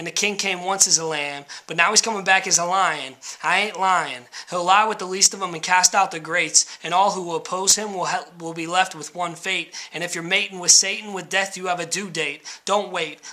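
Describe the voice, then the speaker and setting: A man at a high pitch and fairly quick pace, with fairly even intonation, big swings in loudness, and noticeable background noise. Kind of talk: spoken word poetry.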